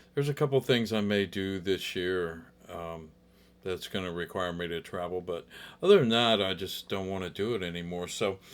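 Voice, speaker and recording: At a moderate pace and with ordinary pitch variation, the speaker comes through on a very clean recording with a silent background. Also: man, very deep, low pitch for a man. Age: 70s. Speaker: guitar teacher. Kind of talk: tutorial. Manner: halting; casual.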